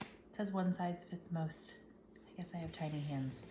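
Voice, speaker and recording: A woman speaks in a dark, mellow tone at a fairly low pitch, somewhat breathy, with ordinary pitch variation. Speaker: home baker vlogger. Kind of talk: tutorial. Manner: casual.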